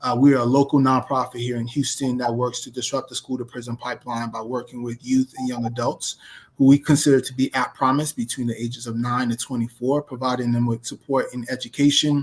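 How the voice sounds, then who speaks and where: In a New York accent, a man rattles off words at a very fast pace with hardly any pauses, his medium-pitched voice flat and monotone in a dry, close recording with no echo. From New York City (South Jamaica, Queens). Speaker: nonprofit executive director. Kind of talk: interview podcast.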